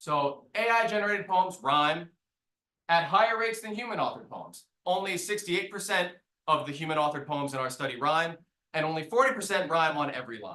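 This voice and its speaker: Speaking in an American accent, a man with a high pitch talks at a fairly quick pace, using lively intonation and a bright, sharp tone. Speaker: researcher presenting a study. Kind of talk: academic talk.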